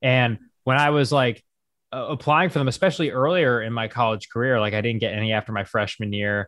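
In an American accent, the speaker talks at a very fast pace with ordinary pitch variation. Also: man, medium pitch for a man. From US, small town. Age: 20s. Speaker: comedic news content creator. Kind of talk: casual interview.

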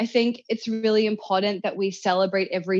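Speaking with a New Zealand accent, a woman talks at a fairly quick pace and medium pitch with fairly even intonation over a quiet background. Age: 30s. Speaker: self-help author. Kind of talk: interview.

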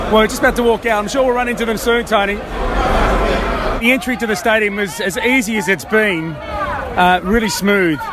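A man with a high pitch talks at a moderate pace, with ordinary pitch variation and hardly any pauses. Audible room echo and noticeable background noise fill the recording. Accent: Australian. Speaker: travelling football reporter. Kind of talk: on-location reporting and live commentary. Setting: outdoors at World Cup in Moscow.

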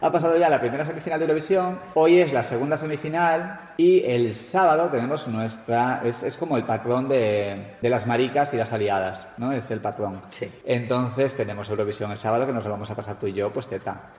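Over noticeable background noise, a man speaks at a fairly quick pace with lively intonation and hardly any pauses. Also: medium pitch for a man. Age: 30s. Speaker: podcast host. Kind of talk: casual chat.

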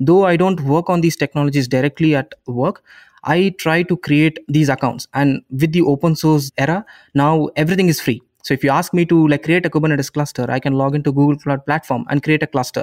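Over a very clean, silent background, a man with an Indian accent speaks at a fairly quick pace in a fairly high voice, with fairly even intonation, very even loudness, and a dry, close sound with no echo. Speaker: YouTuber and software engineer. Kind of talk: interview.

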